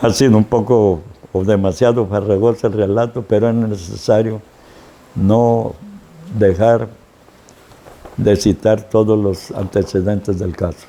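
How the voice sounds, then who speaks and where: Fairly slow, fairly even speech with long, frequent pauses over noticeable background noise. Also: man, fairly low pitch for a man. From Mexico, Tuxpan, Veracruz. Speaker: city chronicler and local historian. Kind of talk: historical narration. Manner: stammers at times; formal.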